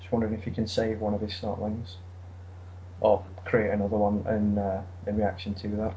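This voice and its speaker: This man talks at a fairly quick pace with an English accent and a fairly low pitch. Noticeable background noise and audible room echo fill the recording. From England. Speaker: podcast co-host. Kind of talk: casual chat about a card game. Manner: halting, many fillers.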